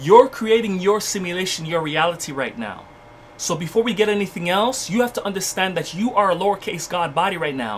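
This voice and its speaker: Over noticeable background noise, a man with a high voice speaks fairly quickly with lively intonation. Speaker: spiritual livestream teacher. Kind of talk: livestream spiritual lecture. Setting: livestream. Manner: repetitive, restarting words.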